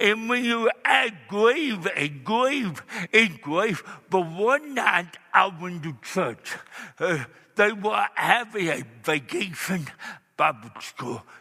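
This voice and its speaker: A raised, projected voice at a very slow pace, full of very wide pitch swings. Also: man, high pitch for a man. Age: 60s. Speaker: evangelist. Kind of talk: sermon. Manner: halting.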